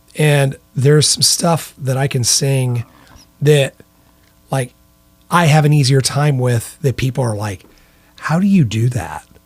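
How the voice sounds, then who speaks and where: An American accent at a moderate pace over background music. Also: man. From US Midwest, central western Illinois. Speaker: rock singer and guitarist. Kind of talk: casual chat.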